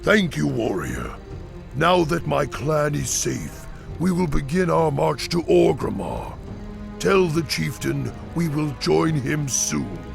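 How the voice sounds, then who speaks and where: A man uses a put-on character voice at a fairly slow pace while clear music plays in the background. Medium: short film. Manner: formal, dignified.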